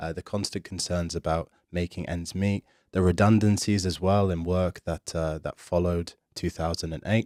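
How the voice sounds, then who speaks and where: A man speaks at a moderate pace with a very deep, low pitch, a dark, mellow tone and monotone, flat intonation. The recording is very clean, with a silent background and a dry, close sound with no echo. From Yorkshire, northern England. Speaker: political podcast co-host. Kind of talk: casual podcast conversation. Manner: hesitant, many fillers and repetitions.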